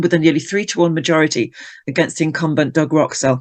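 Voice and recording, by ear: A woman with a low-pitched, slightly mellow voice speaks at a fast pace.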